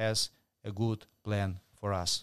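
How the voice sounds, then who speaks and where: This is a man speaking with a Ukrainian accent. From Ukraine. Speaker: pro-family movement leader. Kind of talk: interview. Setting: shared mic in hotel room. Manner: halting.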